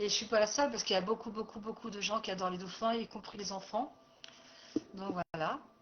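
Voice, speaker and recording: A woman's fairly high-pitched voice at a very fast pace, fairly even in intonation, broken by long, frequent pauses, over noticeable background noise. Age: 60s. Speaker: life coach and therapist. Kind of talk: personal presentation video. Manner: hesitant, many fillers.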